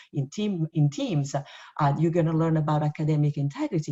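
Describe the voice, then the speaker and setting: The voice is somewhat breathy and dark, mellow in tone, with an Italian accent. It moves at a moderate pace with fairly even intonation. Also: woman. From Italy. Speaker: university professor. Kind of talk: orientation presentation. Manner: halting with many fillers.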